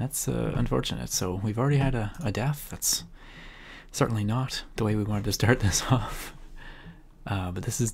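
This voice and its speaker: This man's fairly low voice carries lively intonation and some vocal fry. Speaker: gaming let's play host. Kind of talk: gameplay commentary. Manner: halting.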